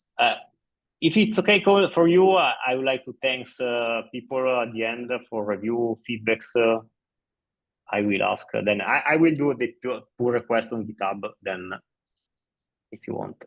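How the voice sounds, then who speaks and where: A man with an Italian accent speaks at a moderate pace, leaving long, frequent pauses. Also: medium pitch for a man, lively intonation. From Italy. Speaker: blog post author. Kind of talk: casual meeting chat. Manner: halting.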